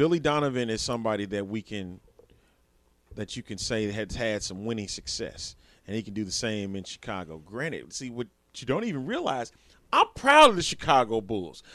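Using an unremarkable speaking voice at medium pitch, a man talks at a moderate pace with ordinary pitch variation and big swings in loudness. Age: 30s. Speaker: sports podcast co-host. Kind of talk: casual chat.

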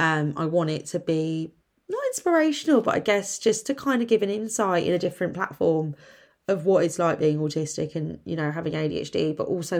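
A woman talks with a fairly low pitch, ordinary pitch variation, and a moderate pace. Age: 30s. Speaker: podcast host. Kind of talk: solo podcast monologue, casual. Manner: halting.

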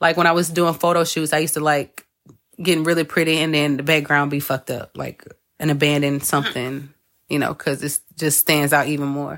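This woman has a very deep, low pitch. She talks at a fairly quick pace. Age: 30s. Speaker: podcast host and astrology reader. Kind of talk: casual chat. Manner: animated.

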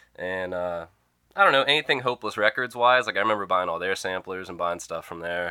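Speaking very fast in a very deep, low voice with an American accent, a man shows ordinary pitch variation and big swings in loudness. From rural Pennsylvania, US. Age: 20s. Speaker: musician. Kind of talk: casual chat. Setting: studio.

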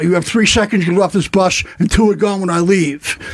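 A man in a New York accent, very fast and high-pitched, with ordinary pitch variation. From New York, Staten Island. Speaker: comedian, former Marine. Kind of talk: casual chat.

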